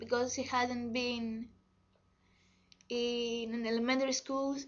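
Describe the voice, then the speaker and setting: Speaking very slowly with a Greek accent, a woman talks in a high pitch. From Greece. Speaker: vlogger. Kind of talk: personal testimony. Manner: halting.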